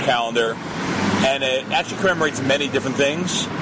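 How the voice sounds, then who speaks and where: A man talks at a fairly quick pace in a medium pitch. Noticeable background noise runs beneath his voice. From US Northeast, New Jersey / New York area. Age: 30s. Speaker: Israel-based commentator with law degree. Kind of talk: radio interview.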